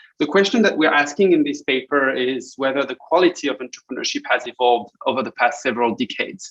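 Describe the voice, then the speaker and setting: A man with a French accent talks very fast with hardly any pauses, his fairly high pitch moving with ordinary variation in a dry, close sound that has no echo. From France. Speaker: academic researcher presenting a paper. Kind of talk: conference presentation. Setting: online conference. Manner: hesitant, many fillers and repetitions.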